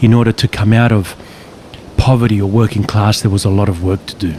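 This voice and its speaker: Noticeable background noise sits under a man's voice. He speaks at a moderate pace and a fairly low pitch. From western Sydney, Australia. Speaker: psychologist and author. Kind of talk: casual conversation. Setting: outdoors, walking on a beach.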